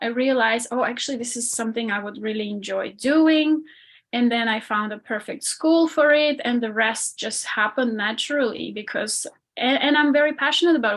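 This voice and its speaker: Against a quiet background, a woman talks with an Armenian accent. Her pitch is fairly high. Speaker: ballet dancer and performance coach. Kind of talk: podcast interview.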